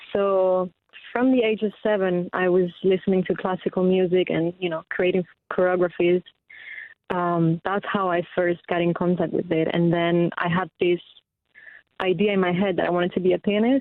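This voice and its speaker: Speaking in an Italian accent at a moderate pace, a woman keeps a medium pitch, a flat, monotone intonation and very even loudness. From Spain. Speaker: singer-songwriter. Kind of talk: radio interview. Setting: phone call.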